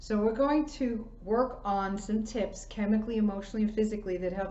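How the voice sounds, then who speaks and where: A woman talks at a fairly high pitch with fairly even intonation. Room echo is audible. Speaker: chiropractor giving a wellness class. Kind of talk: online presentation, lecture.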